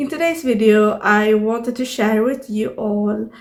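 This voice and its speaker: Amid audible room echo, a woman with a Swedish accent speaks at a fairly slow pace and a fairly high pitch, with ordinary pitch variation. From Sweden. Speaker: YouTuber, artist and journaling creator. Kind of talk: casual vlog tutorial. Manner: halting with many fillers. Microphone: no external microphone, built-in audio.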